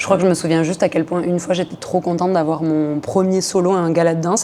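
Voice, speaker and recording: A woman talks at a very fast pace in a fairly low pitch, her intonation monotone and flat. There is noticeable background noise. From southern France. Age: 20s. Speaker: hip-hop dancer. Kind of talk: podcast interview.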